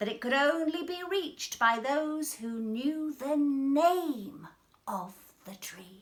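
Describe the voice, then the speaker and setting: A woman puts on a character voice, high in pitch. She speaks at a fairly slow pace. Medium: read story.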